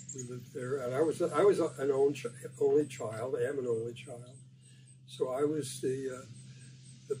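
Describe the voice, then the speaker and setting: With an American accent, a man speaks at a fairly slow pace in a medium-pitched, monotone, flat voice over noticeable background noise. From US Midwest, Detroit, Michigan. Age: 80s+. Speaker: interviewee recounting his life. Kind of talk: oral history interview. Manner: halting, many fillers and repetitions.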